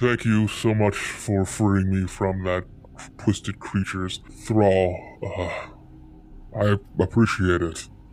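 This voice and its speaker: Putting on a character voice, a man speaks with fairly low pitch and monotone, flat intonation. He goes at a fairly slow pace with long, frequent pauses over clear background noise. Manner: polite, grateful, formal.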